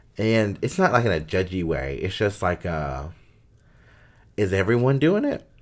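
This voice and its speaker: A man with an American accent, fairly low pitch and lively intonation, at a moderate pace with long, frequent pauses, on a very clean recording with a silent background. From US South (Durham, North Carolina). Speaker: podcast co-host. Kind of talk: casual chat.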